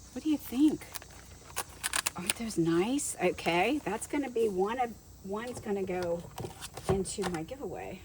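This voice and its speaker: A woman speaks at a moderate pace. Noticeable background noise runs through the clip. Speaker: junk journal crafter and vlogger. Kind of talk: casual show-and-tell haul video. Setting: in her car trunk by the garage. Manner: animated.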